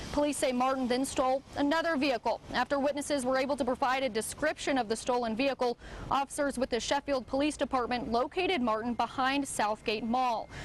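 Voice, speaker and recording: A woman speaks at a very fast pace in a high pitch, with very even loudness and fairly even intonation. Noticeable background noise is present. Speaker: TV news reporter. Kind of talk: TV news reporter live shot / package. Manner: clear, professional news delivery.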